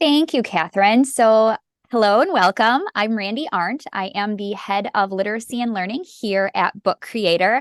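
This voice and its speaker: In a dry, close sound with no echo and a quiet background, a woman with a fairly high pitch speaks at a moderate pace with ordinary pitch variation. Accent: northern US. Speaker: literacy educator. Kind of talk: webinar presentation. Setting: video call. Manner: informal.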